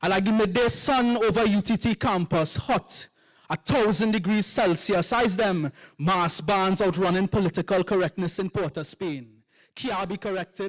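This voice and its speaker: With a Trinidadian accent, a man speaks at a moderate pace and high pitch with ordinary pitch variation. The recording is very clean, with a silent background and a dry, close sound with no echo. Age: young. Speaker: poet. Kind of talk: poetry performance.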